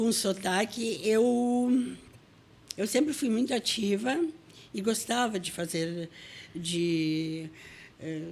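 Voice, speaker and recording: A woman's medium-pitched, lively voice at a very slow pace, broken by long, frequent pauses. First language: Russian (speaking Portuguese). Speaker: writer. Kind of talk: interview.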